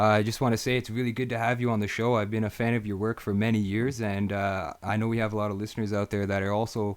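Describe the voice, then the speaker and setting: Very fast, flat, monotone speech from a man with a fairly low pitch and a slight Canadian accent. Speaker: podcast host. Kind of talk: live interview.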